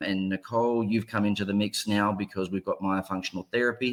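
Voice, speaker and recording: In an Australian accent, a man speaks with fairly even intonation on a very clean recording with a silent background. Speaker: ear, nose and throat surgeon. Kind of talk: panel discussion.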